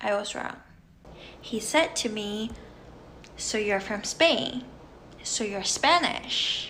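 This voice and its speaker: Noticeable background noise and audible room echo surround a woman who speaks at a very slow pace with long, frequent pauses, a fairly high pitch and lively intonation. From China, Beijing. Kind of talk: casual storytelling to camera.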